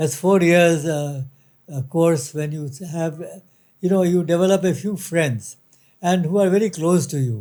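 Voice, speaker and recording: A man talks at a fairly slow pace with long, frequent pauses. His voice is high-pitched for a man, with a dark, mellow tone. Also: ordinary pitch variation. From India, Kolkata (Bengal). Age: 80s+. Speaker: retired company director. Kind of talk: interview. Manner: halting, many fillers.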